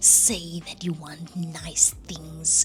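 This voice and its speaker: A woman is speaking. She whispers. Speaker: content creator. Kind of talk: casual vlog talk. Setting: at home at night. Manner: whispering.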